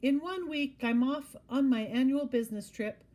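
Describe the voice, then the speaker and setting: A woman puts on a character voice. It sits at a high pitch with ordinary pitch variation. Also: moderate pace. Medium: read story. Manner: airy, theatrical, calls everyone darling.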